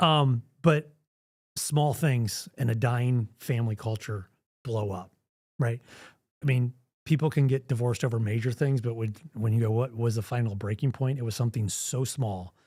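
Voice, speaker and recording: On a very clean recording with a silent background, a man speaks at a moderate pace and medium pitch with ordinary pitch variation. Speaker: organizational coach. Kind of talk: podcast interview. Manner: loud; animated.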